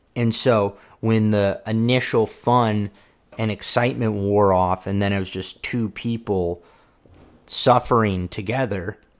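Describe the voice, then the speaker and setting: The recording is very clean, with a silent background. A man with a fairly low voice speaks fairly slowly, his intonation fairly even. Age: 20s. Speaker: vlogger. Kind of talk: personal monologue. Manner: halting.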